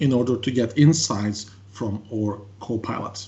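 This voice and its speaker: A man with a French accent, at a moderate pace, with ordinary pitch variation. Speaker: tech consultant presenter. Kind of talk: webinar presentation. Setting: online webinar.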